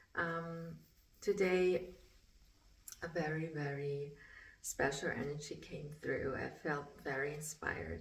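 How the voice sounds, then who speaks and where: Through audible room echo and noticeable background noise, a woman talks very slowly. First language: German. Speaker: spiritual artist. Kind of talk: casual vlog talk. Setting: art studio. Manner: halting.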